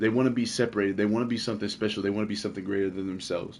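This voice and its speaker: A man speaks with fairly even intonation. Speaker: video game streamer. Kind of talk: casual chat. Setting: livestream. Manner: halting, self-correcting.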